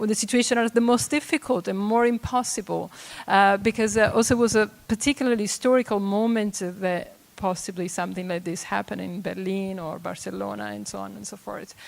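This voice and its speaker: A woman of medium pitch speaks fairly quickly in an Italian accent, with ordinary pitch variation and big swings in loudness. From Italy. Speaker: audience member. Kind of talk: panel discussion comment. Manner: halting.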